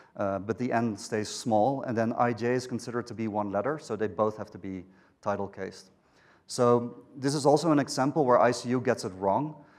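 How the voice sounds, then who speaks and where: A man speaks at a fairly quick pace with a Dutch accent. The recording is very clean, with a silent background. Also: medium pitch for a man, ordinary pitch variation. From Netherlands. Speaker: software engineer. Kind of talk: conference talk. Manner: hesitant, many fillers.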